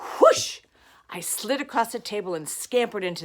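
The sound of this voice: What you hear is an unforced reading voice.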